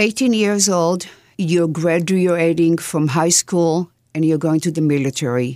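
Talking fairly slowly in an Israeli accent, a woman keeps her loudness very even and her pitch variation ordinary. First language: Hebrew. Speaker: author. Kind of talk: interview.

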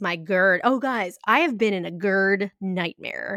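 An animated woman's voice with ordinary pitch variation, dry and close with no echo, in a very clean recording against a silent background. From grew up in an Italian-American home. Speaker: podcast co-host. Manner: animated, laughing often.

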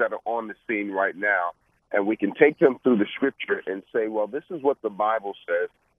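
A man with a New York accent speaks at a medium pitch. His pace is moderate. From Brooklyn, New York. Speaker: preacher and business coach. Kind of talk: radio interview.

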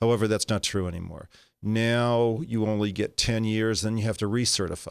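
A man talks at a moderate pace with an American accent and a fairly low pitch. His is an unremarkable speaking voice with fairly even intonation. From Los Angeles, California. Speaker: oncologist. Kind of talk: interview. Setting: studio.

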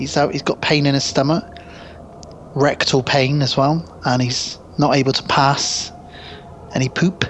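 A man with a British accent and a fairly high pitch, fairly even intonation, a fairly slow pace with long, frequent pauses, and noticeable background noise. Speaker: podcast co-host. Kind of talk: casual chat. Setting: remote internet call.

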